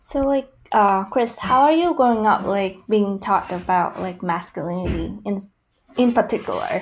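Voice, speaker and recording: A woman at medium pitch with a Vietnamese accent, lively intonation and a moderate pace. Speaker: graduate student. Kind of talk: casual chat.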